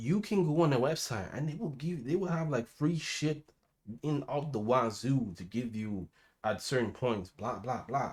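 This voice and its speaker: Somewhat breathy and at a medium pitch, a man talks at a moderate pace with lively intonation. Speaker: gaming streamer. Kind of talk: unscripted rant. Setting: live stream. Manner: stuttering, halting.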